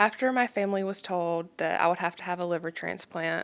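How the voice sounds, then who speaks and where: A woman's fairly evenly intoned voice with a slight Kentucky accent, in a very clean recording with a silent background. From Kentucky, Pikeville (Appalachia). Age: 20s. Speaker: transplant recipient and donation advocate. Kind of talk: podcast interview, personal story. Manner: hesitant fillers, frequent um.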